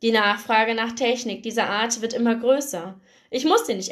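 A natural reading voice is heard here. Intonation remains fairly even throughout.

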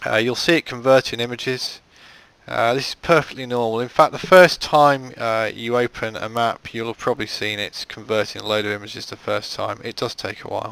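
A man with a British accent at medium pitch, fairly quick pace and ordinary pitch variation, in a dry, close sound with no echo. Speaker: game modding tutorial creator. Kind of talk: tutorial. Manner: casual with frequent filler words.

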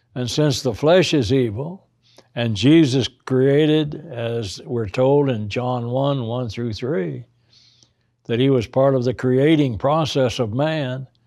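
The background is quiet as a man talks at a very slow pace. His pitch variation is ordinary. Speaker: Bible teacher. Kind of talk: lecture. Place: studio.

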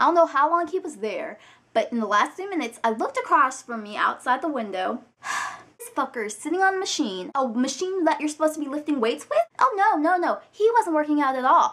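A woman speaks in an animated tone at a fairly quick pace and a high pitch. Her pitch swings very widely, and her loudness rises and falls in big swings. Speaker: vlogger. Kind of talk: angry rant; casual vlog. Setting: video blog, alone on camera. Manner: animated, indignant, sassy, profane. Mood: annoyed, exasperated. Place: home room. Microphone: webcam.

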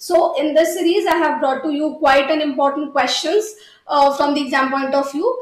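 Intonation stays fairly even, and audible room echo is present. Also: woman. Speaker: exam prep teacher. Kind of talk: lecture. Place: studio.

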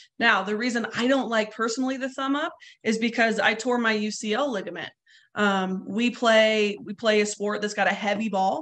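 A woman with a General American accent and a fairly high pitch speaks at a moderate pace with fairly even intonation, in a normal speaking voice. The background is quiet. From Colorado. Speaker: softball coach. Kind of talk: webinar instruction. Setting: video webinar. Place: home room. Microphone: webcam.

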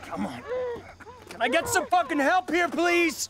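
Using a put-on character voice with a fairly bright tone, the speaker goes at a fairly slow pace with ordinary pitch variation.

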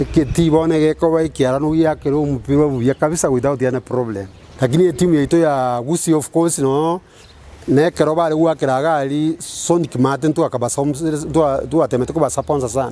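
Fast speech in a dark, mellow tone with fairly even intonation. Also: man, fairly high pitch for a man.

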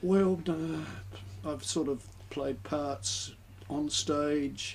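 Over light background noise, a man talks at a fairly high pitch with an Australian accent. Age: 70s. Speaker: retired school principal; interview radio guest. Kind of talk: radio interview. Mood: reminiscing, relaxed. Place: booth. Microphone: studio mic.

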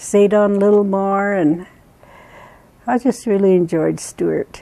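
Speaking at a moderate pace with fairly even intonation, the voice has a dark, mellow tone and an American accent. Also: woman. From Duckwater Reservation, Nevada. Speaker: Western Shoshone elder. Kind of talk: interview answer. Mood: warm, fond. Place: home room. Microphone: lapel.

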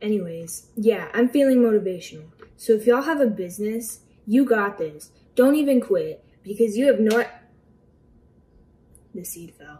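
There is light background noise as a woman speaks at a fairly slow pace. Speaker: home cook vlogger. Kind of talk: casual vlog chat. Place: kitchen. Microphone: phone near.

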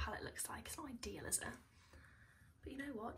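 A woman over light background noise. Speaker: beauty vlogger. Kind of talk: casual get-ready-with-me chat. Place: home room. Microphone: phone near.

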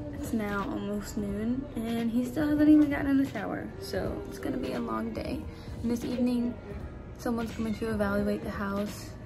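With clear music behind her, a woman talks at a medium speed. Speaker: caregiver vlogger. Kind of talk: casual vlog chat. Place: home room. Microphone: phone near.

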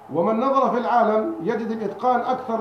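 A man at a moderate pace with fairly even intonation, audible room echo and light background noise. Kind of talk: lecture. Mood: calm, earnest argument. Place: home room. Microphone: handheld.

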